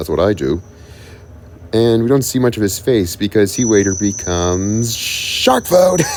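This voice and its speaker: Over noticeable background noise, a man talks in a fairly low pitch with ordinary pitch variation. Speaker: YouTuber discussing cartoon characters. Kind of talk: unscripted video commentary. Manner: fast; halting.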